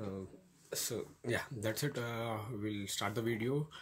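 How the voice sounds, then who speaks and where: Somewhat breathy, a man with an Indian accent speaks at a fairly slow pace and medium pitch with fairly even intonation. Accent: Indian English, Telugu. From India, Telugu-speaking region. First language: Telugu. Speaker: YouTuber giving study-abroad advice. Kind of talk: informal tutorial vlog. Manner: halting, many fillers.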